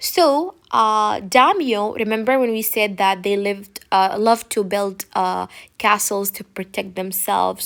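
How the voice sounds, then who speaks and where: In a very clean recording with a silent background, a woman with an ordinary speaking voice and medium pitch talks at a fairly slow pace with hardly any pauses and ordinary pitch variation. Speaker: teacher. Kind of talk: lecture. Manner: casual.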